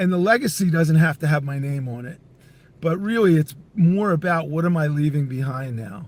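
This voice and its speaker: A man talks in a normal speaking voice at a moderate pace and fairly high pitch. His intonation is lively, and his loudness swings widely. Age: 60s. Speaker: entrepreneur and company CEO. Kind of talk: podcast interview.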